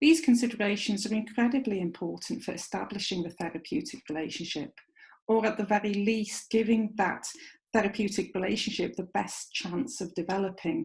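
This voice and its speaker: A woman in a North Welsh accent speaks at a moderate pace, her fairly high, somewhat breathy voice showing ordinary pitch variation. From North Wales. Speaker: clinical psychologist and university lecturer. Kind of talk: recorded lecture presentation.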